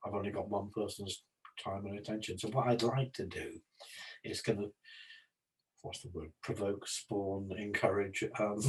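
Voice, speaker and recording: A man speaks in a fairly low pitch with monotone, flat intonation. His voice is somewhat breathy, with long, frequent pauses. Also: moderate pace. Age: 70s. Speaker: psychology and homelessness services consultant. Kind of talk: casual discussion. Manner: halting.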